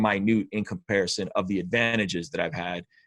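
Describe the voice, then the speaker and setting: Fairly low in pitch with ordinary variation, a man talks at a fairly quick pace. The recording is very clean, with a silent background and a dry, close sound with no echo. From Azerbaijan, Baku; grew up in US as refugee. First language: Russian. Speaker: indie rapper and record label owner. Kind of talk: interview conversation.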